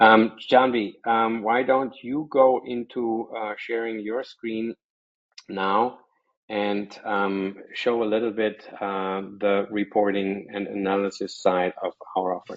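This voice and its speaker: Very slow speech in a German accent, with fairly even intonation. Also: man, fairly low pitch for a man. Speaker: software company presenter. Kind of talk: webinar presentation.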